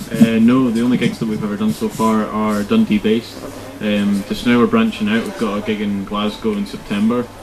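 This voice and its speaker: Delivered at a fairly quick pace with monotone, flat intonation, the speech sits over noticeable background noise. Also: man, medium pitch for a man. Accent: Scottish. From Scotland, Crieff. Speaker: rock band drummer. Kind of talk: casual interview.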